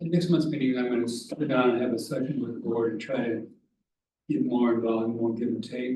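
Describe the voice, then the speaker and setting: Audible room echo surrounds a man speaking at a fairly quick pace. His medium-pitched voice is somewhat breathy, with ordinary pitch variation. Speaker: public commenter at township meeting. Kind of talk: public comment. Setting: township board meeting. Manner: soft-spoken. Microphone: hard to hear, too quiet.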